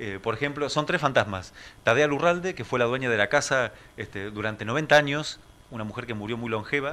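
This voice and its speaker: A man talks at a fairly quick pace in a bright, sharp tone. His loudness swings widely. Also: ordinary pitch variation. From Argentina, San Nicolás, Buenos Aires province. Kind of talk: radio interview. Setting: radio studio. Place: studio. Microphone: studio mic.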